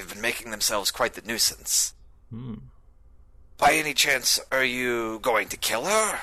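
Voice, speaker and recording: Using a put-on character voice, a man speaks at a medium pitch and a moderate pace, leaving long, frequent pauses. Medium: actual play. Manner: gruff, businesslike.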